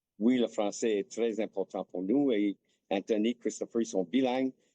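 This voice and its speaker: Heard with a dry, close sound and no echo, a man with an English accent speaks at medium pitch in a dark, mellow tone with ordinary pitch variation. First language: English (speaking French). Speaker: hockey player's father. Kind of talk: interview.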